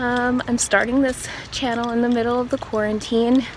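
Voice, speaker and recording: A woman speaks in a high voice. Noticeable background noise runs under her. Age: 20s. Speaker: yoga teacher. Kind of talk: casual vlog intro; guided yoga instruction. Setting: outdoors on a walking trail.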